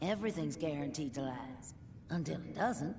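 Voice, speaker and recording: A put-on character voice with a low-to-middle pitch moves at a moderate pace against clear background noise. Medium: video game. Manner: warm, teasing.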